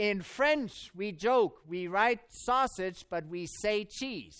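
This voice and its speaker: With a German accent, the speaker sounds animated on a very clean recording with a silent background. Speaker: Bible professor and preacher. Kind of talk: sermon at a camp meeting. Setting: church or camp meeting with audience. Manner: animated, humorous.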